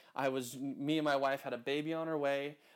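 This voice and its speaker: An animated, fairly high-pitched man with an American accent at a fairly quick pace, on a very clean recording with a silent background. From US West Coast (Santa Maria, California). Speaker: podcast host and chiropractor. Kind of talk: solo podcast monologue. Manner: loud.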